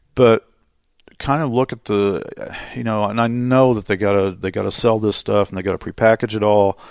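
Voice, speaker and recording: At a moderate pace, a man with a fairly low pitch talks in a plain, everyday voice, the sound dry and close with no echo on a very clean recording with a silent background. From Indiana. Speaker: sports media relations director. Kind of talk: casual interview. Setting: arena office.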